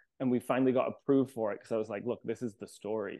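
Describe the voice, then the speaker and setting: This man talks at a very fast pace in a medium pitch. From England (Leeds), moved to Ontario at 10. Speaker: hairstylist and entrepreneur. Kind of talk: interview. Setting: remote from home.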